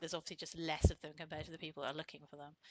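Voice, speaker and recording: The voice has a British accent and a bright, sharp tone. The sound is dry and close with no echo, over a quiet background. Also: woman. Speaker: CV writer and entrepreneur. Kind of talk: casual interview chat.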